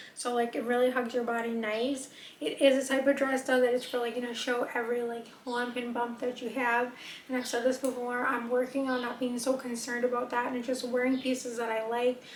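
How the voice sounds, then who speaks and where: A woman talks at a fairly quick pace in a high pitch, her intonation monotone and flat. Noticeable background noise runs behind her. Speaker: fashion and beauty vlogger. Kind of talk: casual try-on haul talk. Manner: fast; casual chatty.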